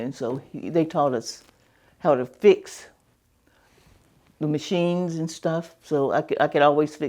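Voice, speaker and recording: A woman with a very deep, low pitch talks at a moderate pace in a Southern US accent, with a quiet background. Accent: Southern American. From Southern Virginia. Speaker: retired teacher. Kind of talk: oral history interview answer.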